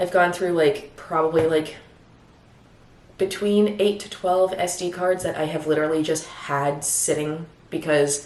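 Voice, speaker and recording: Speaking at a fairly slow pace, a woman has a fairly low pitch and fairly even intonation. Noticeable background noise runs underneath. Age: 30s. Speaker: new YouTuber. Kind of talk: casual vlog talk to camera.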